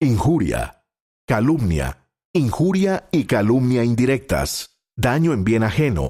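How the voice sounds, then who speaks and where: A man's voice with very wide pitch swings on a very clean recording against a silent background. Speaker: announcer. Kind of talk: institutional reading of legal text.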